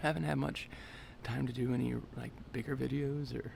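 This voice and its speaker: A man speaks over noticeable background noise. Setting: empty bowling center.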